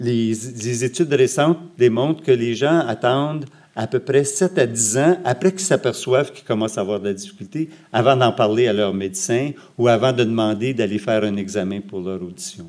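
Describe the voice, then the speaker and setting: A man with a Quebec accent, medium in pitch, lively intonation, big swings in loudness and a moderate pace. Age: 60s. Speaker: hearing researcher and lecturer. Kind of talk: lecture. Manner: halting.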